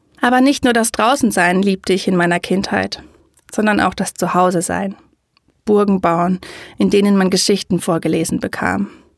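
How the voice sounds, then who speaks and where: A woman's medium-pitched voice with vocal fry, very even loudness, and a dry, close sound free of echo. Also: ordinary pitch variation, moderate pace. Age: 30s. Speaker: podcaster and educator on high sensitivity. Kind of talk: personal storytelling monologue.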